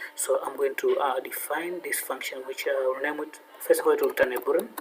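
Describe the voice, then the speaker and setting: There is noticeable background noise as the man moves through his words at a fairly quick pace. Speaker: programming tutor. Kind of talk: tutorial. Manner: fast; halting, many fillers.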